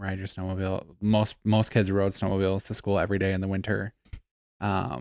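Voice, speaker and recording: A man with a Wisconsin accent talks at a fairly quick pace in a fairly low, monotone voice with flat intonation. The recording is very clean with a silent background. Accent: Upper Midwest (Wisconsin). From Wisconsin (Eau Claire, Gilman). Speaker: podcast co-host. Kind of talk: casual chat.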